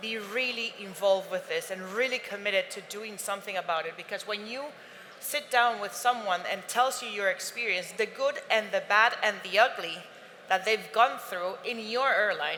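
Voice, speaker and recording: A woman with a Spanish accent speaks in a fairly high pitch, her loudness swinging widely. Noticeable background noise is present. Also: ordinary pitch variation, moderate pace. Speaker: airline representative on panel. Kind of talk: panel discussion.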